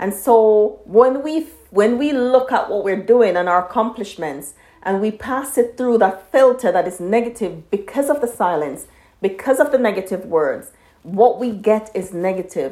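Her dark, mellow voice is fairly high-pitched for a woman. She speaks at a moderate pace with lively intonation. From Jamaica. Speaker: podcast host. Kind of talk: solo podcast monologue.

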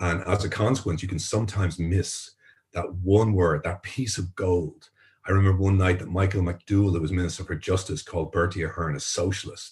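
A man with an Irish accent speaks at a fairly quick pace in a very deep, low, somewhat breathy voice. His intonation is fairly even, and the background is quiet. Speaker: journalist and tech entrepreneur. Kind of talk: interview.

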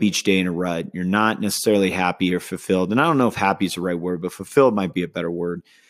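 Very deep and low, a man's voice with an American accent keeps a fairly even intonation on a very clean recording with a silent background. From California. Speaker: podcast host. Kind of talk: solo monologue. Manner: casual, with frequent fillers.

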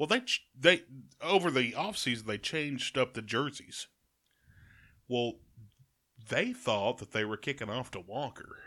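A man talks at a moderate pace in a bright, sharp tone with lively intonation, leaving long, frequent pauses. The recording is very clean, with a silent background. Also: medium pitch for a man. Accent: Alabama. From Alabama, Jasper. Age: 30s. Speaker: radio host. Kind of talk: casual chat.

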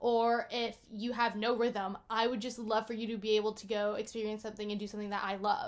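An unremarkable speaking voice moves at a fairly quick pace. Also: woman. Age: 19. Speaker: podcast co-host. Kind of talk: casual chat.

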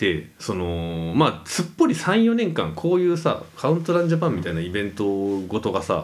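This very clean recording has a silent background. A man with a fairly low pitch speaks at a moderate pace with very wide pitch swings. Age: 30s. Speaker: podcast co-host. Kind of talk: casual chat.

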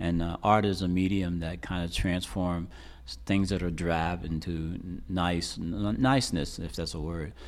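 A man's very deep, low voice with an American accent, a moderate pace, and audible room echo. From Reading, Pennsylvania. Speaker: artist, muralist. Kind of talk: interview. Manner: halting.

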